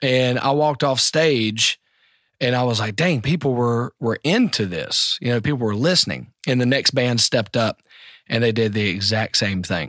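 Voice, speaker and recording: Recorded very cleanly against a silent background, a man speaks with a Southern US accent at a moderate pace. The sound is dry and close with no echo, and his medium-pitched voice stays very even in loudness. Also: ordinary pitch variation. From US South, the Carolinas. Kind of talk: casual interview.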